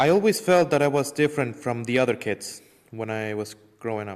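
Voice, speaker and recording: A man with an Ecuadorian accent speaks at a moderate pace. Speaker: parishioner giving faith testimony. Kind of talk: testimony.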